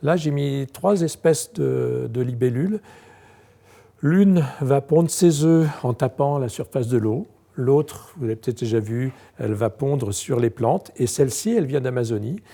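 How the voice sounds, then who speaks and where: This man talks at a fairly slow pace in a medium pitch with a dark, mellow tone. His intonation is lively. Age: 60s. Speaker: entomologist. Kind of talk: guided tour. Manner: hesitant, many fillers.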